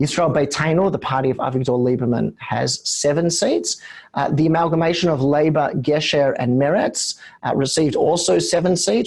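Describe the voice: At a moderate pace, a man speaks with a croaky, slightly mellow voice at medium pitch and ordinary pitch variation.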